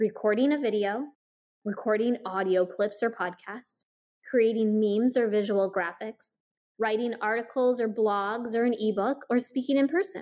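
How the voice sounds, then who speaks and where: Speaking at a moderate pace, a woman uses an ordinary speaking voice, pitched fairly high and moving with ordinary pitch variation. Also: very even loudness, very clean recording, silent background. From US Midwest (Iowa). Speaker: marketing coach. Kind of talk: podcast interview.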